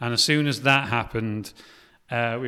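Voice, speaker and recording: A man with a North Welsh accent talks at a moderate pace and medium pitch, with ordinary pitch variation. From North Wales. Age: 30s. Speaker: film director. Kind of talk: casual interview.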